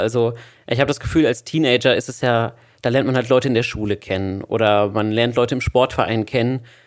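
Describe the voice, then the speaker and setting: A man at medium pitch talks at a very fast pace. The recording is very clean, with a silent background. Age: 20s. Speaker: podcast host, student. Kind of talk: casual chat.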